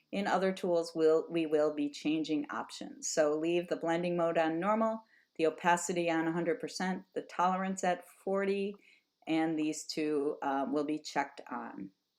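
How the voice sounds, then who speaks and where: A woman's normal speaking voice, fairly low in pitch with ordinary pitch variation, at a moderate pace over a quiet background. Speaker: high school art teacher. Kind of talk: tutorial.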